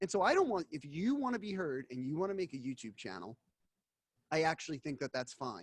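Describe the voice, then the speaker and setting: The sound is dry and close with no echo as a man with a US Northeastern accent talks at a fairly quick pace, making very wide pitch swings. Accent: US Northeast. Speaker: investigative journalist. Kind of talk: casual interview.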